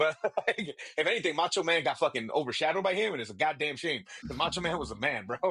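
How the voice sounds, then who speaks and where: A man's animated, bright, sharp voice at a fairly high pitch, with vocal fry, lively intonation and a very fast pace. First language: Spanish. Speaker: podcast co-host. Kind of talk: casual chat.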